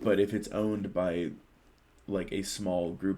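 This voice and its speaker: A man's gravelly voice sits at a very deep, low pitch with fairly even intonation. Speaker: podcast co-host. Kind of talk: casual chat.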